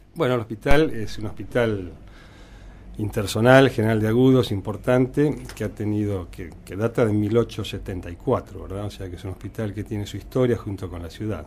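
Somewhat breathy and fairly low-pitched, a man talks at a moderate pace with ordinary pitch variation and big swings in loudness. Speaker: hospital director and surgeon. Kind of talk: interview.

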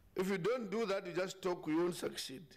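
A man talks at a fairly quick pace with a high pitch and vocal fry. His pitch varies in an ordinary way, and the room echo is audible.

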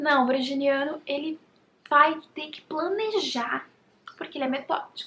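A woman with a high pitch speaks in a raised, projected voice at a fairly slow pace, with ordinary pitch variation. Her loudness swings widely over noticeable background noise. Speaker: YouTuber. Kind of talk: casual vlog talk to camera.

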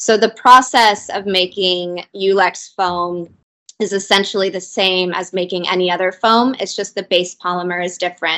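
Over a quiet background, a woman talks at a moderate pace in an American accent. Her tone is bright and sharp, and her intonation fairly even. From US, Southern California. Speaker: sustainable materials company representative. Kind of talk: interview. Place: office. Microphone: video call.

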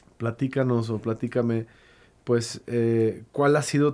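Fairly slow and monotone, with flat intonation, a man speaks in a dark, mellow tone. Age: 30s. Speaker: podcast host. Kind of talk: casual interview conversation. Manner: halting, many repetitions. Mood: calm, reflective. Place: studio. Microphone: studio mic.

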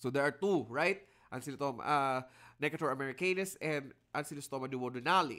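A man speaks at a fairly quick pace with a bright, sharp, animated tone and ordinary pitch variation. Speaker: lecturer. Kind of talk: lecture. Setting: video call.

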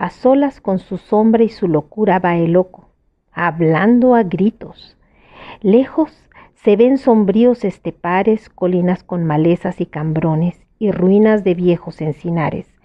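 An unremarkable speaking voice from a woman at medium pitch, fairly slow, with ordinary pitch variation. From Mexico. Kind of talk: poetry reading.

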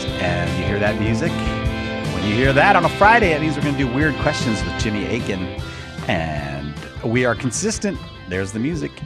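Over loud background noise, a man talks at a fairly quick pace between long, frequent pauses. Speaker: radio host. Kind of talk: radio show hosting. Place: studio. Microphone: studio mic.

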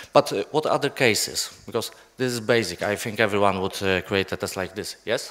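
A man with a Polish accent speaks fairly quickly at a fairly low pitch with ordinary pitch variation. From Poland. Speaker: software developer. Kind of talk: conference talk. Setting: stage with audience. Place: hall.

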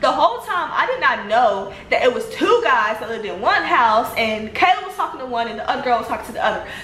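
Very fast and with hardly any pauses, a woman speaks at a high pitch with very wide pitch swings and big swings in loudness. Audible room echo and light background noise surround her voice. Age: 20s. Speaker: social media personality. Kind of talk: testimony; casual storytelling vlog. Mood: animated, telling personal drama. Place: home room. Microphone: phone near.

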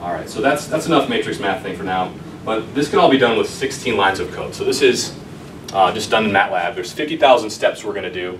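Over noticeable background noise, a man with an American accent talks at a fairly quick pace with very wide pitch swings. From Wisconsin (Beloit); Wisconsin. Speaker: sports technology founder; presenter. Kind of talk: lecture. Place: classroom. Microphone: camera far.

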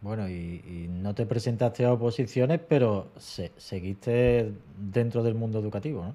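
A man talks at a moderate pace, with hardly any pauses. His pitch varies in an ordinary way. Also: big swings in loudness. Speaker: teacher and exam-prep channel host. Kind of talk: casual interview. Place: home room. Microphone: studio mic.

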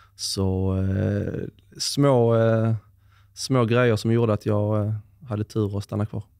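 A man talks at a very slow pace with a fairly low pitch and a monotone, flat delivery. The sound is dry with no echo, over a quiet background. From Sweden, Skåne (Höllviken); Skåne. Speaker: former pro footballer; podcast guest. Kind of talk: interview. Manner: hesitant, many fillers. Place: home room. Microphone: studio mic.

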